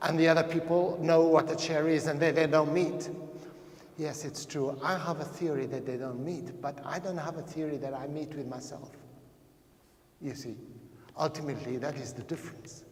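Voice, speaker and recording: With noticeable background noise and audible echo from the room, a man talks at a fairly high pitch with fairly even intonation. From Portuguese, raised in Africa. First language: Portuguese. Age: 60s. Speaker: anthropologist, lecturer. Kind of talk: lecture.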